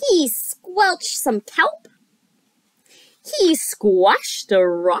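In a dry, close sound with no echo, a woman speaks very slowly at a high pitch with very wide pitch swings.

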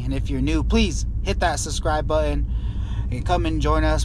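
Over noticeable background noise, a man with a very deep, low pitch talks at a fairly quick pace in a dry sound with no echo. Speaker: construction worker vlogger. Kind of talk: casual vlog chat. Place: car. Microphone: phone near.

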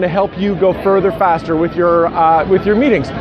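A man's high-pitched voice, dry with no echo, over noticeable background noise. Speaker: ministry leadership coach. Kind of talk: casual vlog chat. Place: street. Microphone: phone near.

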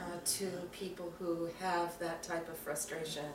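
A woman's fairly slow speech carries audible room echo alongside noticeable background noise. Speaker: student interviewer, self-described straight ally. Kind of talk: casual interview. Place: home room. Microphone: camera far.

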